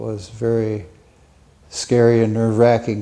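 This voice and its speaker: A man with an American accent speaks at a medium pitch in a dark, mellow tone. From Minnesota. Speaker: war veteran. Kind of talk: testimony. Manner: halting.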